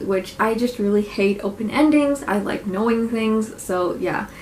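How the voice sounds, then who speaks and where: There is noticeable background noise as a woman talks at a moderate pace in a fairly high pitch with ordinary pitch variation. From Nova Scotia, Canada. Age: 20s. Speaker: book reviewer. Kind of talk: casual talk to camera, book review.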